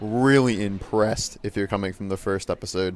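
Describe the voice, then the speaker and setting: Noticeable background noise sits behind this recording. A man with an American accent speaks at a fairly quick pace. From New Jersey. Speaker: gaming YouTuber. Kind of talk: casual gameplay commentary. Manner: casual, filler-heavy.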